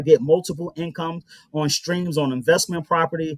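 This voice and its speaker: A man's high voice at a fairly quick pace, fairly even in intonation, with a dry, close sound and no echo. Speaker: life insurance and wealth building advisor. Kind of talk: radio interview. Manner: fast.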